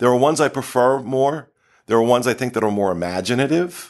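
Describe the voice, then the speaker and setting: A man talks in a plain, everyday voice at medium pitch with lively intonation. The background is quiet. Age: 50s. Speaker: podcast host. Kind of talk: casual chat. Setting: studio.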